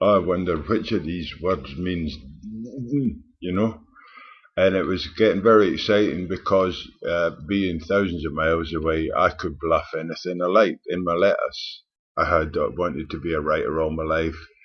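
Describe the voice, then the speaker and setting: A man with a Scottish accent and a very deep, low pitch, at a moderate pace with fairly even intonation. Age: 60s. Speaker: vlogger. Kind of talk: personal storytelling. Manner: halting.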